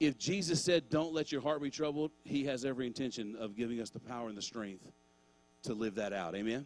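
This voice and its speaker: A man's medium-pitched, warm voice with lively intonation at a fairly quick pace, music playing in the background. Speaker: pastor. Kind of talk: sermon at a church Christmas gathering, closing with prayer and benediction. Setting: church with a live congregation and online viewers. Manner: warm, fervent, and exhortative, urging the congregation to respond aloud; conversational and informal, with filler words and casual asides like 'man'.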